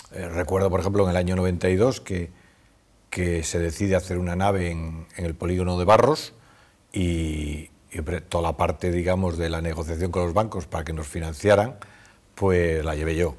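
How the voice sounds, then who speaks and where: Here a man speaks with a very deep, low pitch. His pace is moderate. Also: fairly even intonation. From Cantabria, Spain (Torrelavega); Cantabria, Spain. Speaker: businessman, supermarket chain executive; interviewee. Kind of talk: interview. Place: studio. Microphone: lapel.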